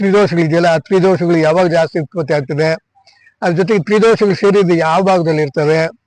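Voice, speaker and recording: A man's high-pitched voice, with very even loudness and fairly even intonation. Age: 70s. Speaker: yoga teacher. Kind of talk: informal talk on health.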